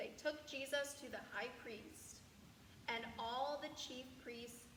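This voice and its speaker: Noticeable background noise sits behind a woman's high voice. She speaks at a very slow pace. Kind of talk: scripture narration.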